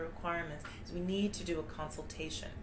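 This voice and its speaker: A woman talks at a very fast pace. Noticeable background noise and audible room echo surround her voice. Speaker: immigration lawyer. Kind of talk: informational talk. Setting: live video stream.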